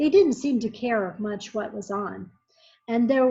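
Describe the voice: Over a quiet background, this is plain reading aloud with ordinary pitch variation.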